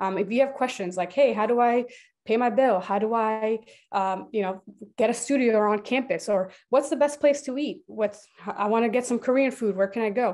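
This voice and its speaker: At a moderate pace, a woman with a normal speaking voice talks in a fairly high pitch with ordinary pitch variation against a quiet background. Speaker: university student engagement director. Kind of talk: presentation. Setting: video call. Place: home room. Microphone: video call.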